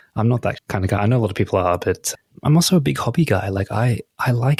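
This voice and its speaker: A man's fairly low, somewhat breathy voice at a fairly quick pace, with lively intonation and a dry, close sound with no echo. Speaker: podcast co-host. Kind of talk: casual chat.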